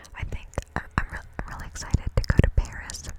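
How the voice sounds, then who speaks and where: Whispering in an American accent, a woman talks at a moderate pace against noticeable background noise. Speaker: ASMR creator. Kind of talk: ASMR Q&A, casual talk to camera. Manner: whispered, rambling, soft-spoken.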